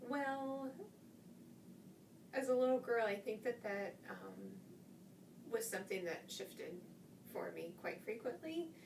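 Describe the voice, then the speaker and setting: A woman with a Midwestern American accent speaks at a fairly slow pace and fairly high pitch, with lively intonation and long, frequent pauses, amid audible room echo and noticeable background noise. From US Midwest, Greensburg, Indiana. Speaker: interviewee, education graduate. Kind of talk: interview.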